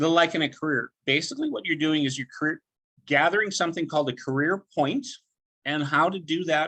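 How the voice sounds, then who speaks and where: With a dry, close sound and no echo, a man speaks at a fairly quick pace with fairly high pitch, a bright, sharp tone and ordinary pitch variation. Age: 60s. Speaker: network marketing presenter. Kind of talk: sales pitch presentation. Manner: casual with filler words.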